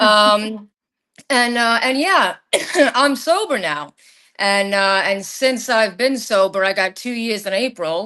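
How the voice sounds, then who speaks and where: Over a quiet background, a woman speaks very slowly with a slight Long Island accent. Her tone is bright and sharp, and her intonation is lively. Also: fairly high pitch for a woman. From Long Island, New York. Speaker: podcast guest sharing paranormal experiences. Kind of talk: casual chat, personal storytelling. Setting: live stream.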